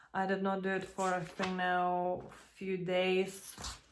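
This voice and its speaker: A woman with a non-native accent at a very slow pace, with audible room echo. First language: not English. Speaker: vlogger and small café owner. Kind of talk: casual vlog monologue. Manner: hesitant, with fillers.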